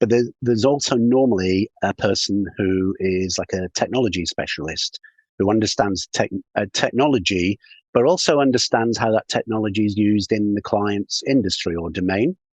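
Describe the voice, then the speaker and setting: Speaking with a British accent, a man uses a fairly low pitch, ordinary pitch variation and a moderate pace. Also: dry, close sound with no echo. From UK. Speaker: sales consultant. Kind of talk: podcast interview.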